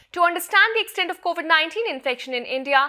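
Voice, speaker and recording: Speaking fairly quickly in a raised, projected voice, a woman with an Indian accent has a bright, sharp tone, captured in a very clean recording with a silent background. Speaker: news presenter. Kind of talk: news reading, formal scripted health bulletin. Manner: formal; steady, measured, even-paced delivery.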